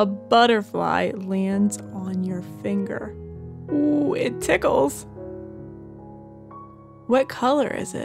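Over background music, a woman speaks at a very slow pace with long, frequent pauses. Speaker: meditation guide. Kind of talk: children's bedtime guided meditation. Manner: soft, slow, gentle.

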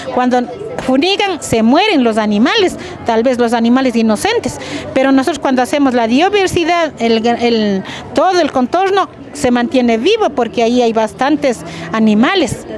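A woman speaks with a high pitch and lively intonation at a moderate pace. The sound is dry with no echo, with light background noise. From Pimampiro, Imbabura, Ecuador. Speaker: rural women's group representative. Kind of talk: interview. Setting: outdoors at a seed fair. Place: street.

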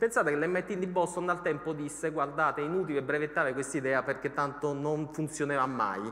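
A normal speaking voice moves at a fairly quick pace with ordinary pitch variation. Loudness stays very even. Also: man, fairly high pitch for a man. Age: 40s. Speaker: economics journalist and author; economics journalist. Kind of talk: lecture. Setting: stage with audience. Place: hall. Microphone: headset.

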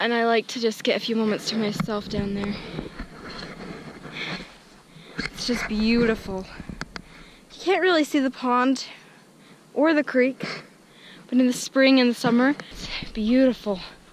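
A woman speaks in a high voice with ordinary pitch variation, leaving long, frequent pauses. The sound is dry with no echo, though background noise is noticeable. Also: moderate pace. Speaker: vlogger. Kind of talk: casual vlog chat. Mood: calm, reflective. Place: open country. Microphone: phone near.

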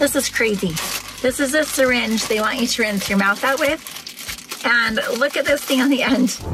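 A woman with a high voice speaks at a moderate pace, her loudness very even and her pitch varying in an ordinary way, in a dry sound with no echo against noticeable background noise. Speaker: family vlogger. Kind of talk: casual vlog chat. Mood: chatty, slightly amused. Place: car. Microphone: phone near.

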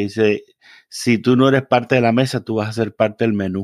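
A man speaks in a flat monotone at a moderate pace. The recording is very clean and dry, close-up with no echo and a silent background. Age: 40s. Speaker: reverend. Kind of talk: casual interview conversation.

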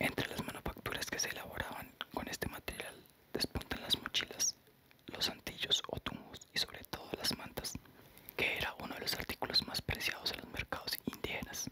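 Whispering and soft-spoken, the speaker keeps a moderate pace. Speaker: reader of a history book. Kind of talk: reading aloud. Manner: soft whispered book reading.

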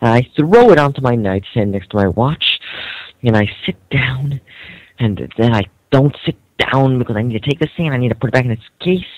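With lively intonation, a man delivers his words at a moderate speed. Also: dry sound with no echo. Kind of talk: casual rant. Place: home room. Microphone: video call.

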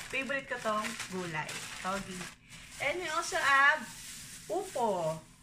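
With noticeable background noise behind her, a woman talks at a fairly slow pace in a high pitch, swinging her pitch very widely and leaving long, frequent pauses. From Philippines. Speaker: vlogger. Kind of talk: grocery haul vlog. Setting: at home. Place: kitchen. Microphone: phone near.

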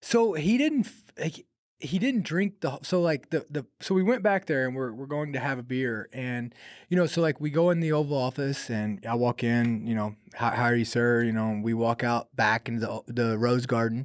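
At a moderate pace and with ordinary pitch variation, the speech plays against a quiet background. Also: man. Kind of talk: interview answer, storytelling. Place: studio. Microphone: studio mic.

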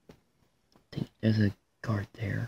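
In a dry, close sound with no echo, a man speaks at a fairly slow pace in a fairly low, somewhat breathy voice with a dark, mellow tone and monotone, flat intonation. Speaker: gaming YouTuber. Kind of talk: gameplay commentary. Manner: hesitant, many fillers.

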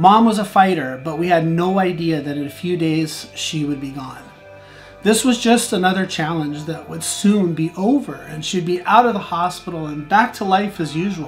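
Over faint background music, a man with a high pitch and ordinary pitch variation speaks at a moderate pace with big swings in loudness. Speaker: vlogger. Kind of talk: personal story vlog. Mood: somber, emotional. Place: home room.

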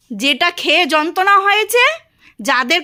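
A raised, projected voice shouts with lively intonation and a bright, sharp tone. The recording is very clean, with a silent background. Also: woman. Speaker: vlogger, housewife. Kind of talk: casual home vlog and domestic quarrel. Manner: loud, shouting.

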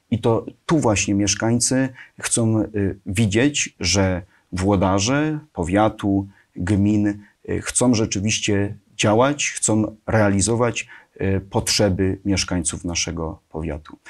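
A man's very slow speech at a fairly low pitch, with ordinary pitch variation and a quiet background. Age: 20s. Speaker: local politician. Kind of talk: interview. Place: studio. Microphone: lapel.

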